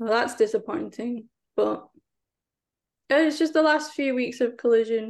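Pitch varies in an ordinary way in this voice with an English accent. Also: woman. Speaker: wrestling podcast guest. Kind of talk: casual chat.

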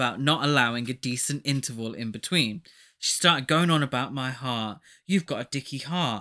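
This is plain reading aloud. The text is read through as written.

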